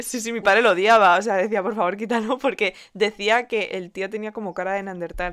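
With a Spanish accent, a woman talks in an animated tone at a fairly quick pace with hardly any pauses, recorded very cleanly against a silent background. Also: medium pitch for a woman. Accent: Peninsular Spanish. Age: 20s. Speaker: podcast co-host. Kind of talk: casual chat.

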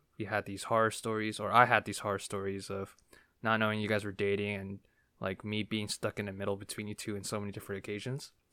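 Bright and sharp in tone, a man speaks with an American accent at a fairly low pitch. The recording is very clean, with a silent background. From New Jersey. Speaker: podcast host. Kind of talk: casual chat.

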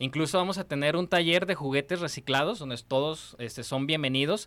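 This man's voice sits fairly high and has a bright, sharp tone. He talks at a moderate pace with ordinary pitch variation. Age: young. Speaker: eco festival organizer. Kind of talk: interview.

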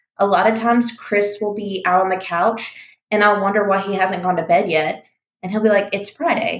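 In an American accent, this is a normal speaking voice with fairly even intonation and a moderate pace. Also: woman, medium pitch for a woman. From US Deep South, Mobile, Alabama. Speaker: podcast co-host. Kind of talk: casual chat.

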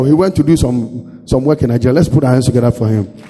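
Someone speaks at a very fast pace over crowd noise in the background. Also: man. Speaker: pastor. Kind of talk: sermon. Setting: church. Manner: animated.

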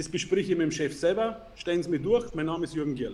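Moving at a fairly quick pace, the man's high voice carries a dark, mellow tone and ordinary pitch variation. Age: 40s. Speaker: entrepreneur and sales expert. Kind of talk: interview.

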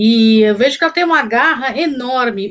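A woman is speaking. Her voice is high-pitched. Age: 40s. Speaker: co-host. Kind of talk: live stream interview.

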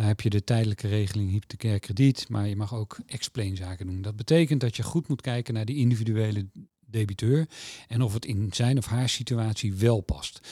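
A man's somewhat breathy voice, dark and mellow in tone, at a fairly quick pace, recorded dry and close with no echo. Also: ordinary pitch variation. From Netherlands, Utrecht. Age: 50s. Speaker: mortgage company executive. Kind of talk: interview. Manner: hesitant, many filler sounds.

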